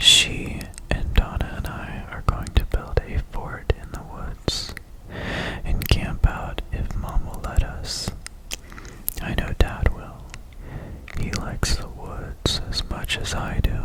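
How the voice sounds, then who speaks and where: Whispering at a very slow pace with long, frequent pauses, the voice comes through over noticeable background noise. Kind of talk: ASMR book reading.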